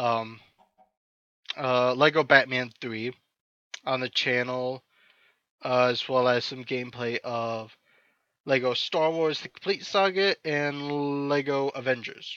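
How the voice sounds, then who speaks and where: A man with an American accent speaks at a very slow pace in a bright, sharp tone, using fairly even intonation and long, frequent pauses. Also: medium pitch for a man. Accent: slight accent, sometimes taken as British. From Iowa, US Midwest. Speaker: gaming YouTuber. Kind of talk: casual gameplay commentary. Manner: many fillers, hesitant.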